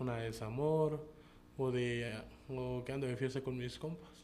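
Audible room echo and noticeable background noise surround a man at medium pitch. He speaks at a fairly slow pace with ordinary pitch variation. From Chiapas, Mexico. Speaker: rapper. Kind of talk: interview.

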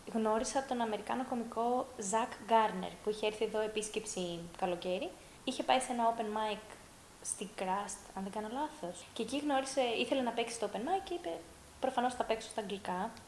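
An ordinary speaking voice, moderate in pace, its pitch shifting in an ordinary way. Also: woman, fairly high pitch for a woman. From Greece, raised largely abroad (Russia, Norway). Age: 30s. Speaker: stand-up comedian. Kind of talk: casual chat.

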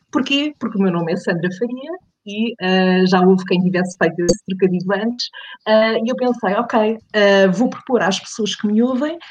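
A woman's somewhat breathy voice moves at a moderate tempo, its pitch varying in an ordinary way. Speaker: podcaster, radio background. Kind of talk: casual interview.

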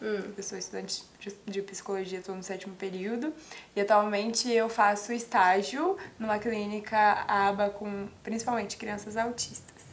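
A woman with an ordinary speaking voice and medium pitch talks at a moderate pace, her intonation fairly even and her loudness swinging widely. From Espírito Santo, Brazil (Guarapari). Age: 20s. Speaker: psychology student. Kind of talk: casual interview. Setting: TV studio.

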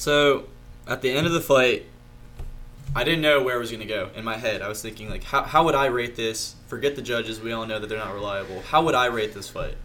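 A man at a fairly quick pace with an American accent, ordinary pitch variation and audible room echo. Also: medium pitch for a man. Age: 20s. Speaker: amateur mixed martial artist. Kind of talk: casual chat.

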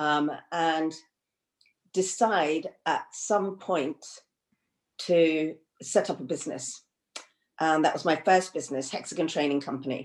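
Over a quiet background, a woman with a very deep, low pitch talks at a fairly slow pace, using ordinary pitch variation and long, frequent pauses. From England (London), Indian family. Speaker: counselor and leadership trainer. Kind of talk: interview. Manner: hesitant, many fillers.

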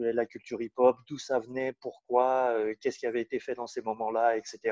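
At a moderate pace, a man talks in a dark, mellow tone at medium pitch, recorded dry and close with no echo. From Switzerland (Lausanne). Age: 40s. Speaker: rapper. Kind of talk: interview. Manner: halting, many repetitions and fillers.

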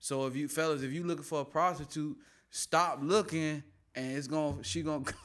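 Pitched fairly high for a man, his voice moves at a fairly quick pace. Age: 20s. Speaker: podcast host. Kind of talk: casual monologue. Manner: animated.

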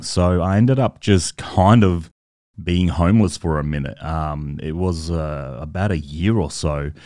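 Here a man speaks with a very deep, low pitch. His pace is fairly slow, and his pitch variation is ordinary. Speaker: podcast host. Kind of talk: casual monologue. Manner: animated.

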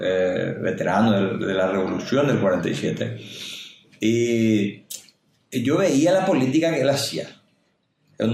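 Here a man talks at a medium pitch. Audible room echo surrounds his voice. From Paraguay, Itacurubí del Rosario; raised in Salto del Guairá. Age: 50s. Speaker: mayoral candidate. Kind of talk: interview.

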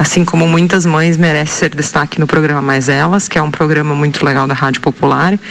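A woman's very deep, low voice comes through noticeable background noise. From southern Brazil, Rio Grande do Sul. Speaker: radio listener. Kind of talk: recorded audio tribute.

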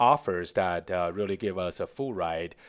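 A man with a Chinese accent speaks at a fairly slow pace with lively intonation. The recording is very clean, with a silent background. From China, Beijing. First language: Mandarin Chinese. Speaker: tech startup founder and CEO. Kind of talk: interview.

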